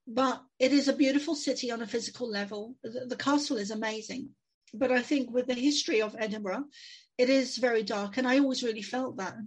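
A woman with a high pitch keeps her intonation fairly even as she talks fairly quickly. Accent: London. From London, England. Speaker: psychic medium and author. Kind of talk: interview.

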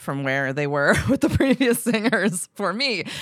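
Her intonation is lively and her tone fairly bright, at a moderate pace. The recording of this woman is very clean, with a silent background.

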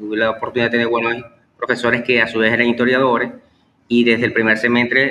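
The voice belongs to a man. His pitch is medium. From Venezuela, Maracaibo (Zulia). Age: 30s. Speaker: historian and teacher. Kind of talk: interview. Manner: halting, many fillers.

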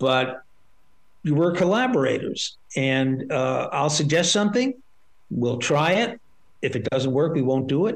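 A man with a fairly high pitch speaks at a fairly slow pace, with long, frequent pauses and very wide pitch swings. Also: very even loudness. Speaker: record producer and author. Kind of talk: interview. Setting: video call. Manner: halting, many repetitions and fillers.

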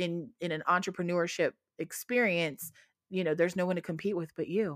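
A woman speaks in an ordinary speaking voice at a fairly low pitch and a moderate pace. The sound is dry and close with no echo, on a very clean recording with a silent background. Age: 40s. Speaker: adult content creator. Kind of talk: casual interview chat.

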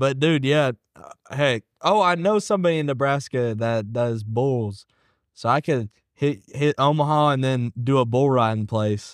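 A man with a normal speaking voice talks fairly slowly at medium pitch with ordinary pitch variation, against a quiet background. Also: dry, close sound with no echo. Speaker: rapper. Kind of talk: casual chat.

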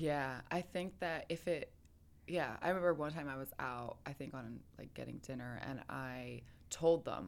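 Very deep, low pitch from a woman, vocal fry, big swings in loudness, ordinary pitch variation, a moderate pace, and a very clean recording with a silent background. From Philadelphia, Pennsylvania. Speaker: model and professional dancer. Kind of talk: casual chat. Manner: animated.

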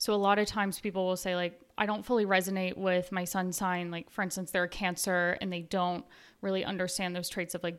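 In an American accent, a woman with an unremarkable speaking voice talks at a fairly quick pace and medium pitch with fairly even intonation, on a very clean recording with a silent background. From US South, Nashville. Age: 20s. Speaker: astrologer. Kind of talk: interview, explaining astrology.

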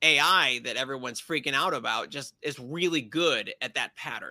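A man's bright, sharp voice with ordinary pitch variation at a fairly slow pace, on a very clean recording with a silent background. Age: 40s. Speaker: science YouTuber. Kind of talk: casual interview chat. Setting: live stream.

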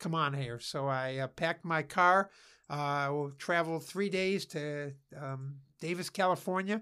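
A man with a Cleveland accent and a bright, sharp, fairly high-pitched voice speaks at a fairly slow pace with ordinary pitch variation, on a very clean recording over a silent background. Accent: Inland Northern US (Cleveland). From Northeast Ohio, Cleveland area. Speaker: former basketball coach and businessman, author. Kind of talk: interview.

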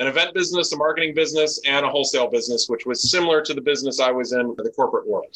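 Here a man speaks at a high pitch in a bright, sharp tone. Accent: American. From Chicago. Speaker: business owner. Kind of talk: interview.

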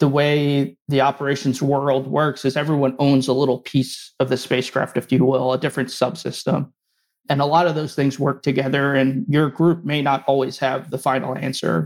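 In an American accent, a man speaks at a moderate pace with a fairly high pitch. His intonation is monotone and flat, and his loudness very even. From New Jersey, near New York City. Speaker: aerospace engineer, flight director. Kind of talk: interview. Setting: remote call.

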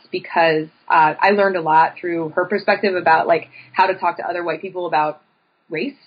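Speaking in a Pennsylvania accent, a woman keeps her medium-pitched voice fairly even in intonation. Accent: Pennsylvania American. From central Pennsylvania, State College. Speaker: professor. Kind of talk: interview.

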